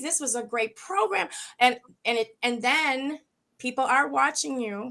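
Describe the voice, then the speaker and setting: With an animated tone and lively intonation, a woman speaks at a fairly slow pace in a high pitch. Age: 50s. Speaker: talk show co-host. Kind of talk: casual chat. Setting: live stream.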